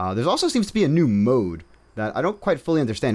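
Talking at a very fast pace, a man with an American accent lets his pitch swing very widely. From Brooklyn, New York. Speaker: podcast co-host. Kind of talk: casual chat.

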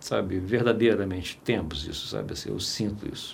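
There is audible room echo as a man speaks at a moderate pace. His voice has vocal fry. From Minas Gerais, Brazil. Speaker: filmmaker. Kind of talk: interview conversation. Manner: halting, with many repetitions.

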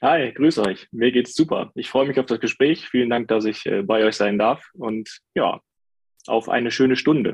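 A man with a plain, everyday voice speaks at medium pitch and a moderate pace, with ordinary pitch variation and a dry, close sound with no echo. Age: 30s. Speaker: IT specialist. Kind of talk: casual chat.

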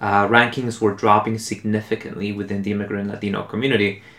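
A man with a Spanish accent speaks quite quickly at a fairly low pitch with fairly even intonation. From Mexico City, then Los Angeles from age 11. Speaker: immigrant rights activist. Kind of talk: casual chat.

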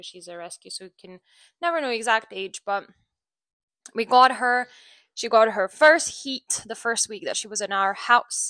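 In a very clean recording with a silent background, a woman with a bright, sharp tone and fairly high pitch speaks at a moderate pace, using lively intonation, big swings in loudness and long, frequent pauses. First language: not English. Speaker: dog trainer and podcast host. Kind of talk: casual solo monologue. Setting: home recording with microphone. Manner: halting, many fillers.

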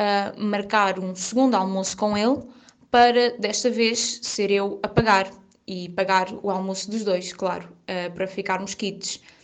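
A woman with an unremarkable speaking voice, medium pitch, fairly even intonation and a fairly slow pace. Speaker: friend of the host. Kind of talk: recorded storytelling.

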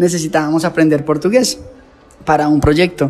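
Speech in a Colombian accent with ordinary pitch variation, over noticeable background noise. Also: man. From Colombia, near Bogotá. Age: 30s. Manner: passionate, intense, emotional.

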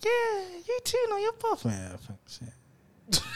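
A man speaks with a London accent. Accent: London multicultural youth. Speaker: podcast host. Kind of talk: casual banter.

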